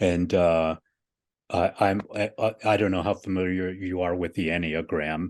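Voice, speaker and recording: A man speaks in a very deep, low voice with flat, monotone intonation. The background is quiet. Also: moderate pace. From Cuba, raised in the US from age four. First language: Spanish. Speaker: executive director of a spiritual nonprofit. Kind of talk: interview conversation.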